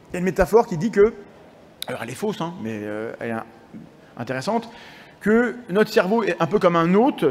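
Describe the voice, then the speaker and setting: Noticeable background noise sits under a man's high-pitched voice as he speaks at a fairly quick pace. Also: long, frequent pauses. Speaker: science communicator and lecturer. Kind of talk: conference lecture. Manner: halting; fast.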